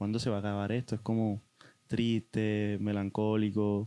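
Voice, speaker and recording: The sound is dry and close with no echo as a man speaks with a dark, mellow tone. His pace is very slow and his intonation monotone and flat. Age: 20s. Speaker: guest sharing experience of depression. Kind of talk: testimony. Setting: in-person studio recording.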